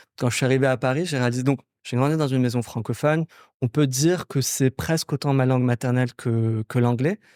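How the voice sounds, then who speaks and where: A man speaks in a normal speaking voice at a fairly quick pace, with very even loudness and ordinary pitch variation, on a very clean recording with a silent background and a dry, close sound with no echo. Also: medium pitch for a man. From Morocco, Casablanca. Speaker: startup founder. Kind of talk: podcast interview.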